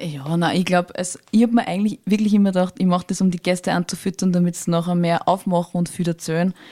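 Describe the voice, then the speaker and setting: In a very clean recording with a silent background and a dry, close sound without echo, a woman with a fairly low voice and a dark, mellow tone speaks at a fairly quick pace with fairly even intonation. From Lower Austria, Tulln district. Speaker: podcast co-host. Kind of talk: casual interview.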